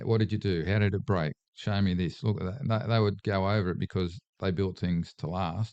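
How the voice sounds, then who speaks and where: A man talks at a moderate pace with hardly any pauses, his fairly low pitch showing ordinary variation. The sound is dry and close with no echo, over a quiet background. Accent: Australian. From Australia, Sydney area. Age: 60s. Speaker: political candidate. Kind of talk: casual chat.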